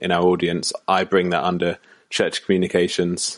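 A man speaks with a British accent against a quiet background. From United Kingdom. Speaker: church communications consultant. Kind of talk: podcast interview.

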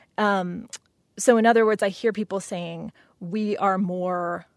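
A woman with an American accent and an ordinary speaking voice talks at a medium pitch with fairly even intonation, in a dry, close sound with no echo and a quiet background. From West Virginia. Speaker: multimedia artist. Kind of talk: interview.

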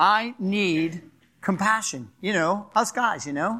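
The voice is raised and projected, with a Philadelphia accent and lively intonation at a very slow pace. The recording is very clean, with a silent background. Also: man. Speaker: pastor. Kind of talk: sermon. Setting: church.

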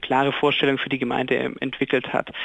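A man's fairly high voice in a flat, monotone delivery. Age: 20s. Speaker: mayor. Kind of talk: radio interview.

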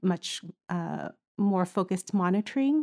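In a very clean recording with a silent background, a woman at medium pitch speaks at a fairly slow pace in an ordinary speaking voice. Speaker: pediatric ICU nurse. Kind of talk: casual interview chat.

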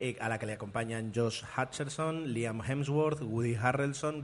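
With an unremarkable speaking voice, a man talks at a fairly slow pace and a medium pitch, with ordinary pitch variation. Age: 30s. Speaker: podcast host. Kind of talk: casual chat. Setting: café.

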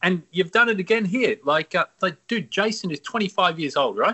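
A man with an Australian accent is speaking. His high voice keeps a moderate pace. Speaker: podcast host. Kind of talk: casual interview. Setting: video call.

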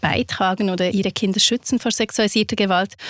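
Recorded dry and close with no echo, a woman speaks in a normal speaking voice with fairly even intonation. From Switzerland. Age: 40s. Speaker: victim support counsellor and author. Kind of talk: interview.

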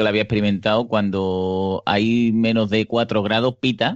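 Speaking in an Andalusian accent, a man keeps a fairly low pitch and a monotone, flat intonation. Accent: Andalusian Spanish (Seville). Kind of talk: casual chat.

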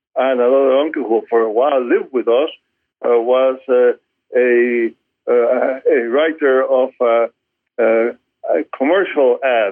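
Very slowly, a man with a Spanish accent speaks at a medium pitch, keeping his intonation fairly even and his loudness very even. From Cuba. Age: 80s+. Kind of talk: interview.

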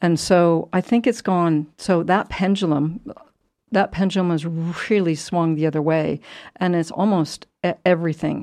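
A woman's fairly low voice with a dark, mellow tone. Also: quiet background. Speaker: community radio host. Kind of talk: casual chat. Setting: studio. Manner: halting.

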